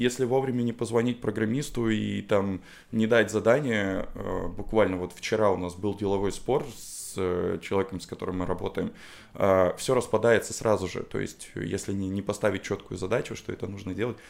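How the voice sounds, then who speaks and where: A man with a plain, everyday voice talks at a moderate pace, fairly low in pitch with fairly even intonation, in a very clean recording with a silent background. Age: 30s. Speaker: designer and musician. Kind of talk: casual chat. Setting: studio.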